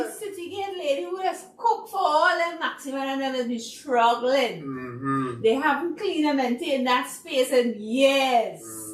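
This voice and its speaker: A woman with a high-pitched voice talks at a moderate pace with lively intonation and hardly any pauses, her loudness swinging widely over noticeable background noise. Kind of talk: podcast discussion.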